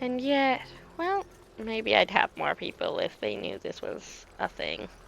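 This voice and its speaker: Mumbling at a fairly slow pace, a woman speaks. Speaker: game streamer. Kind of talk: let's play commentary. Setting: live stream, no voice chat. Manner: mumbling to self.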